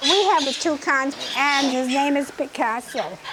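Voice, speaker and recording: A woman speaks with a high pitch. Noticeable background noise sits behind her. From Germany, Stuttgart. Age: 70s. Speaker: bird keeper. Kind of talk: documentary interview.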